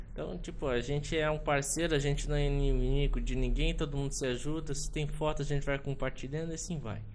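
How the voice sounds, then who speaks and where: At a fairly quick pace and with hardly any pauses, the speaker talks in a monotone, flat intonation amid audible room echo. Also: man, fairly high pitch for a man. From Rio Grande do Sul, Brazil. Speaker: ship photographer and port operations worker. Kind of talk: casual interview chat. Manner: halting.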